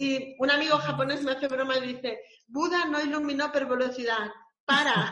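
A woman uses a raised, projected voice at a high pitch with ordinary pitch variation. She keeps a moderate pace amid audible room echo. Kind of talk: casual interview.

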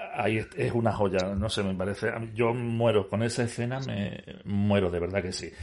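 This is an ordinary speaking voice. Its pitch variation is ordinary. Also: man, fairly low pitch for a man, moderate pace. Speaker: podcast host. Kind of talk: casual interview. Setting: cinema screening room. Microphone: echo on his voice.

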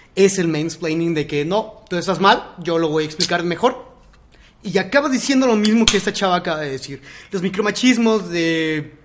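Through noticeable background noise, a man talks at a moderate pace in a high voice with ordinary pitch variation. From Mexico. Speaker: podcast host. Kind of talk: casual chat.

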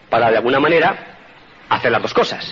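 A man's voice amid noticeable background noise. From Spain. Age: 50s. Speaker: motivational speaker. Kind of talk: motivational talk.

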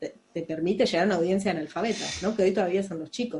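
Fairly quick speech in a Rioplatense accent over noticeable background noise. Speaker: animation podcast co-host. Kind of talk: casual chat.

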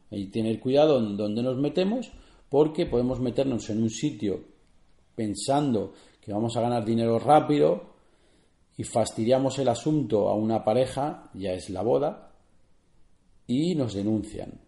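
A man talks at a medium pitch and a fairly slow pace, with long, frequent pauses. His tone is dark and mellow, and his pitch varies in an ordinary way. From Spain, Barcelona. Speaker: photographer and podcast host. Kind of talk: solo podcast tutorial. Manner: halting, with many fillers and repetitions.

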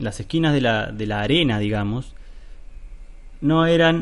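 A man with a Rioplatense accent speaks at a fairly slow pace amid audible room echo. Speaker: podcast host. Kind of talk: solo podcast monologue. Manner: hesitant, many fillers.

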